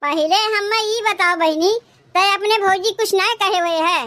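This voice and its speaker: A cartoonish character voice at a moderate pace with very even loudness. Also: woman, extremely high pitch for a woman. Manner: calm, easily persuaded.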